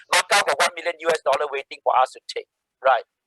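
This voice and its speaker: Recorded dry and close with no echo, a man with a Singaporean accent talks at a fairly quick pace. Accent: Singaporean English (Singlish). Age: 60s. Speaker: social entrepreneur. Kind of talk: guest talk. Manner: animated.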